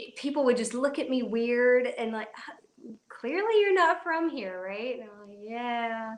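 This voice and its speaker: Speaking at a fairly slow pace with hardly any pauses, a woman uses a high pitch, lively intonation and big swings in loudness. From Kentucky, US South. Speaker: blind YouTuber. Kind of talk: live stream Q&A chat. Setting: mobile live stream.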